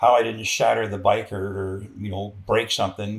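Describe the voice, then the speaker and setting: This man talks at a fairly quick pace with a Canadian accent and fairly even intonation. His voice sits fairly low and is somewhat breathy. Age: 60s. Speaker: military veteran. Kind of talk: interview conversation. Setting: sit-down interview.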